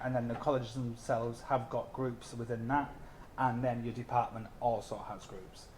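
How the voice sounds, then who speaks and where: Somewhat breathy and medium in pitch, a man with a North East England accent talks at a fairly quick pace against audible room echo. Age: 30s. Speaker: mature anthropology student. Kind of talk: open day student talk. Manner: hesitant, many fillers.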